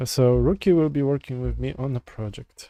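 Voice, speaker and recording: A man speaks at a medium pitch with a Polish accent. His tone is dark and mellow, and his pace is fairly quick. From Poland. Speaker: software developer streamer. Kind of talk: live coding stream chat. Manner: halting, many fillers and restarts.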